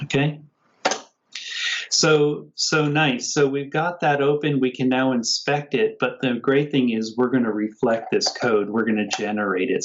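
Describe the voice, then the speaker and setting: It is an ordinary speaking voice with ordinary pitch variation. The loudness stays very even. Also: man. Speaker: software engineer giving a workshop walkthrough. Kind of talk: tutorial. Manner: casual, conversational.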